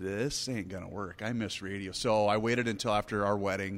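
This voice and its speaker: Over a silent background on a very clean recording, a man talks at a moderate pace with an American accent. His is an unremarkable speaking voice, fairly low in pitch, with fairly even intonation. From US Midwest. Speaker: radio talk show host. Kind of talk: casual chat over drinks.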